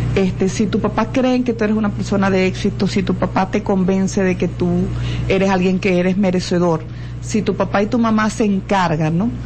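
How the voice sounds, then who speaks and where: A woman talking at a fairly quick pace with very even loudness and audible room echo. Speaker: lawyer and educator. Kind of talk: radio interview. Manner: halting, repeats words.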